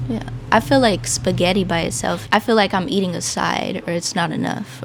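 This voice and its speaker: A woman's fairly quick speech with very wide pitch swings, against noticeable background noise. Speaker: interview host. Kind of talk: casual interview questions.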